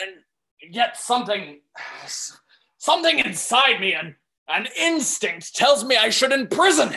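A put-on character voice with a fairly high pitch and very wide pitch swings moves at a fairly slow pace, broken by long, frequent pauses. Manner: anguished, brooding.

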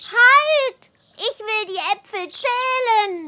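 In a cartoonish character voice, a female-sounding speaker squeaks at an extremely high pitch and a very slow pace. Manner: earnest, eager.

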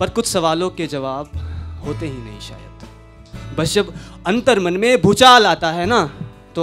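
Clear music plays in the background while a man speaks. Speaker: spoken word poet. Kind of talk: live poetry performance. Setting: live open-mic event. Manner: emotional, with repeated phrases. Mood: wistful, emotional. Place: stage. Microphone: handheld.

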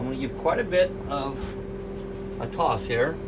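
The man's words come at a medium tempo beneath a loud wash of background noise. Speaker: presenter. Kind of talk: tutorial. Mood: relaxed, light joking. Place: kitchen.

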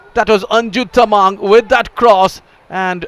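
A man speaks at a very slow pace amid noticeable background noise. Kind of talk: live sports commentary.

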